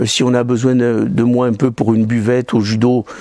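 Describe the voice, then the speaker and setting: A man speaks at a moderate pace. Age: 60s. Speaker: judo club volunteer. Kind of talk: interview testimony. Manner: halting.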